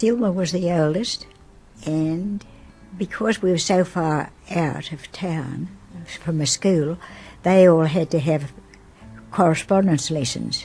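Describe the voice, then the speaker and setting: A woman with a fairly low pitch speaks at a very slow pace, with ordinary pitch variation. Long, frequent pauses break her speech, and music plays in the background. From Australia. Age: 80s+. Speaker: grandmother. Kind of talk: interview answer.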